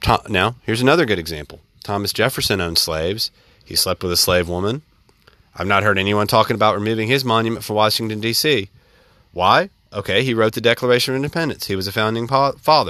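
Talking at a very fast pace with ordinary pitch variation, a man speaks in a Southern US accent. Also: fairly low pitch for a man. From US South, central Alabama. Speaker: podcast host. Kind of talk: solo monologue commentary.

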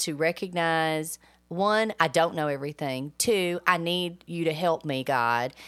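In a very clean recording with a silent background, a woman with a normal speaking voice talks at a moderate pace, her fairly low pitch showing ordinary variation. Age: 40s. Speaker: parenting podcast co-host. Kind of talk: casual chat.

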